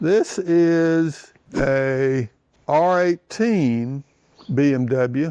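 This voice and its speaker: This man talks with a Southern US accent at a fairly high pitch, with ordinary pitch variation. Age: 70s. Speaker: motorcycle enthusiast and shop owner. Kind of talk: interview. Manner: casual.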